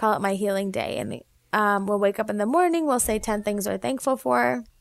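Animated, fairly high-pitched speech from a woman with a Midwestern American accent at a moderate pace, on a very clean recording with a silent background. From US Midwest, Naperville, Illinois. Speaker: physician and homeopath. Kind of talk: interview.

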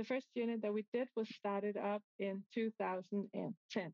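A woman speaks at a moderate pace and a medium pitch, her intonation fairly even and the sound dry and close with no echo. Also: slightly mellow tone.

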